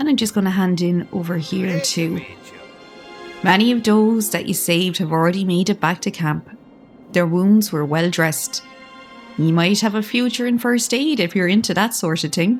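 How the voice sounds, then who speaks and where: With music in the background, a soft-spoken woman with an Irish accent talks at a moderate pace in a calm tone. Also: medium pitch for a woman, ordinary pitch variation. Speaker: gaming commentator. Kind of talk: casual gameplay commentary. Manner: soft-spoken, calm.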